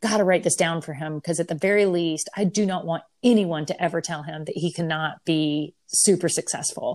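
A woman speaks in a plain, everyday voice with a fairly low pitch and an American accent. Her intonation is fairly even at a moderate pace on a very clean recording with a silent background. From US South. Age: 40s. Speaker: painter. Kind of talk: interview.

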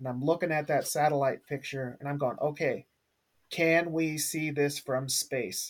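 Here is a man with a fairly high pitch and an ordinary speaking voice, talking at a fairly slow pace with fairly even intonation. The recording is very clean, with a silent background. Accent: American. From US Pacific Northwest. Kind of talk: casual group discussion.

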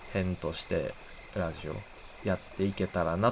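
A man speaks with a Kansai accent. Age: 20s. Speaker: podcast host. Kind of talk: casual solo talk.

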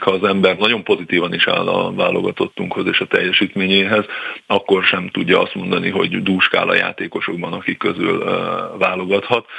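Noticeable background noise runs beneath a man who speaks at a moderate pace. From Hungary. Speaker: former footballer, football pundit. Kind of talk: radio interview.

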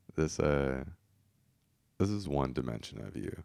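A man's very deep, low voice carries vocal fry. He talks at a fairly quick pace. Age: 30s. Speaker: podcast host. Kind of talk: casual interview chat.

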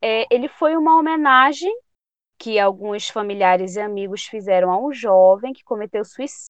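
Lively, fairly slow speech from a woman with a fairly high pitch. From Pará, northern Brazil. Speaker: psychology student. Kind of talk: interview.

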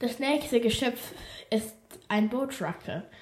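At a very slow pace, a woman speaks in a somewhat breathy voice. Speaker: podcast host. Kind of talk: reading aloud. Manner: casual, chatty asides.

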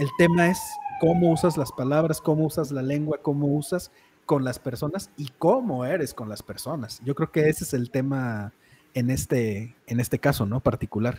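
A man with a Mexican accent, a fairly high pitch, a dark, mellow tone and a somewhat breathy quality, at a moderate pace with ordinary pitch variation. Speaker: podcast host. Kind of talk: casual chat. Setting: live stream.

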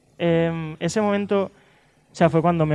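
The man's voice has a dark, mellow tone. He keeps a moderate pace. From Lleida, Catalonia, Spain. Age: 20s. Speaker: dancer and dance teacher. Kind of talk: interview.

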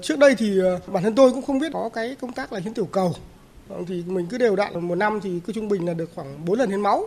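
Very fast speech cuts through noticeable background noise. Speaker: blood and platelet donor. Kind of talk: radio interview.

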